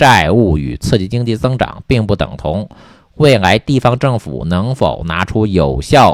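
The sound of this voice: Lively intonation in an unforced reading voice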